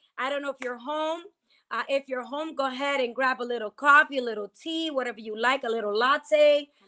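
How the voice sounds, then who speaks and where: A woman with an American accent speaks fairly quickly in a high voice. Her tone is bright and sharp, and her voice is raised and projected. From New Jersey. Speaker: pastor and podcast host. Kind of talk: casual chat with faith teaching. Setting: livestream on Instagram. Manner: animated.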